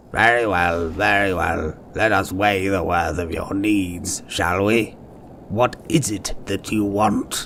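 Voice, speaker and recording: A man's put-on character voice, fairly low in pitch and fairly slow in pace, over clear background noise. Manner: condescending.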